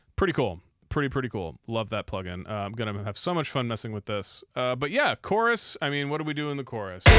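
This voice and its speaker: Music plays in the background as a man talks at a very fast pace. His intonation is lively. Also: medium pitch for a man. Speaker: music producer. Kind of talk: tutorial. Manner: casual, filler-heavy.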